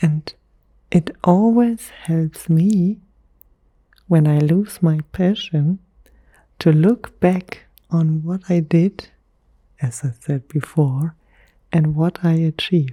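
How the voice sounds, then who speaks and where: Soft-spoken and somewhat breathy, a woman whispers at a very slow pace with long, frequent pauses, the sound dry and close with no echo. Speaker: ASMR creator. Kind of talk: whispered ASMR monologue. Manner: whispering.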